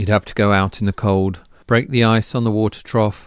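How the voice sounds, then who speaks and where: Recorded very cleanly against a silent background, a man with an English accent talks at a moderate pace. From England. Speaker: artist. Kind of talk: personal storytelling monologue.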